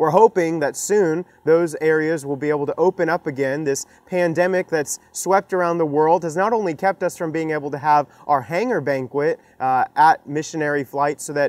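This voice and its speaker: Talking at a moderate pace with hardly any pauses, a man shows ordinary pitch variation in a dry sound with no echo. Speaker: presenter. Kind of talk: fundraising appeal to camera. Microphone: lapel.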